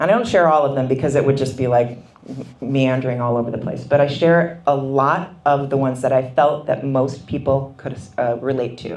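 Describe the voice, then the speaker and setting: A woman with an American accent speaks at a moderate pace in a very deep, low pitch. Her pitch varies in an ordinary way, and the room echo is audible. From Minnesota. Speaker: author. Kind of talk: book talk interview. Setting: book signing event.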